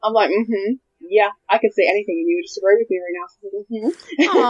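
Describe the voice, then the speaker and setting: A woman's voice with ordinary pitch variation in a dry, close sound with no echo. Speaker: podcast co-host. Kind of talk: casual chat. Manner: stumbles over words.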